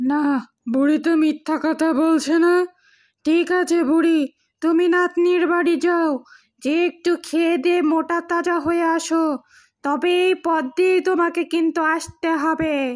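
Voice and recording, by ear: In a cartoonish character voice of extremely high pitch, the speaker goes at a fairly slow pace on a very clean recording with a silent background.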